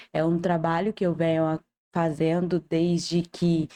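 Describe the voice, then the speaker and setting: In a quiet background, a woman's fairly low voice has a dark, mellow tone and a dry, close sound with no echo. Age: 20s. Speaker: cancer patient and digital influencer. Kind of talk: podcast interview.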